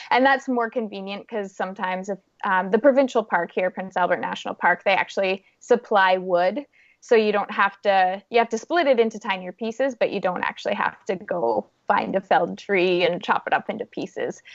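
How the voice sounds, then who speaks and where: Talking at a fairly quick pace in a Canadian accent, a woman has an unremarkable speaking voice at medium pitch with ordinary pitch variation. The sound is dry and close with no echo, over a quiet background. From Canada, Saskatchewan. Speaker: adventurer and motivational speaker. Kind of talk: podcast interview.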